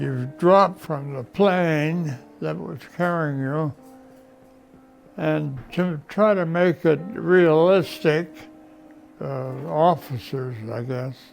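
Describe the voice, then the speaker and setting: A man speaks very slowly with a fairly high pitch, ordinary pitch variation, big swings in loudness and long, frequent pauses over music in the background. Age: 80s+. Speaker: war veteran. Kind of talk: testimony. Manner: halting.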